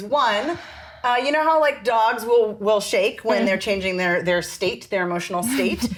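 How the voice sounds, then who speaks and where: Amid noticeable background noise, a woman with a fairly high pitch makes very wide pitch swings. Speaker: dialect coach. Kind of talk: interview answer.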